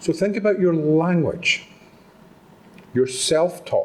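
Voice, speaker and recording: In a Scottish accent, a man with a high pitch speaks with ordinary pitch variation. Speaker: motivational speaker. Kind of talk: talk to live audience. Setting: stage with audience. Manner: animated.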